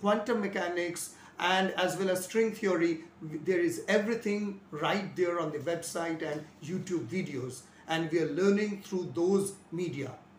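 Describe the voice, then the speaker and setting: Audible room echo and light background noise surround a man speaking at a high pitch and a fairly slow pace. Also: ordinary pitch variation. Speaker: physics teacher. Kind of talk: lecture. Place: home room. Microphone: lapel.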